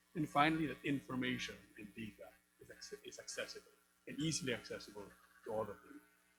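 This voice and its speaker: With music in the background, a man talks at a very fast pace broken by long, frequent pauses. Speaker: business group representative. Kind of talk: panel speech. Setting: hybrid event with live audience. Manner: hesitant, many fillers.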